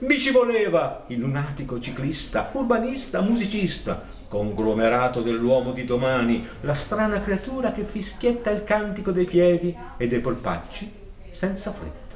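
Pitch leaps across a very wide range. There's light background noise and audible room echo. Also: man, high pitch for a man, moderate pace. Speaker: poetry reciter. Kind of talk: reading aloud. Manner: declamatory. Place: shop. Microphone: camera far.

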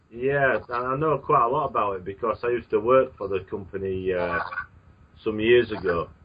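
A man with a British accent and a medium pitch talks at a fairly quick pace. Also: ordinary pitch variation. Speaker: radio host. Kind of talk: interview. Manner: halting.

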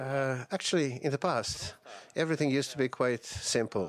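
A man speaks at a moderate pace with ordinary pitch variation. Light background noise is present. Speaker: panel moderator. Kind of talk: opening remarks at a panel discussion. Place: hall. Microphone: podium.

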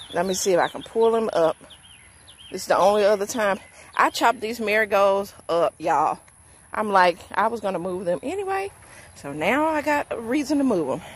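A woman talks at a fairly quick pace with lively intonation in a dry sound with no echo. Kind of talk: casual vlog chat. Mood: amused, recounting snake encounter. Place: garden. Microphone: phone near.

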